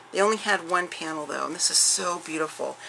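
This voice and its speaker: Noticeable background noise sits behind a woman's voice. She speaks fairly quickly at a fairly low pitch. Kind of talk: casual vlog chat. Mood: warm, enthusiastic. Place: home room.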